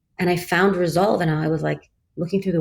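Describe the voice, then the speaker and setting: A fairly low-pitched, somewhat breathy woman's voice at a fairly quick pace. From Kuwait. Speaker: startup chief of staff. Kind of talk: interview conversation. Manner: animated, casual.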